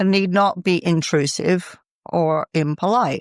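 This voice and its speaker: A woman with an American accent speaks at a medium pitch with ordinary pitch variation. The sound is dry and close with no echo, on a very clean recording with a silent background. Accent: American accent, noticeable in Britain. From United States. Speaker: author and business executive. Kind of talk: podcast interview.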